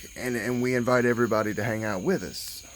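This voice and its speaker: The speaker has a strong Southern US accent and ordinary pitch variation. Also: man. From US South, southern Alabama. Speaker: YouTuber. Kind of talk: casual vlog talk.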